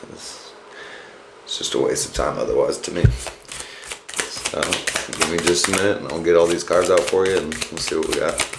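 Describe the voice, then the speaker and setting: A man at a moderate pace, with big swings in loudness, long, frequent pauses and noticeable background noise. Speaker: tarot reader. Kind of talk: casual tarot reading to camera. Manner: casual, laid-back.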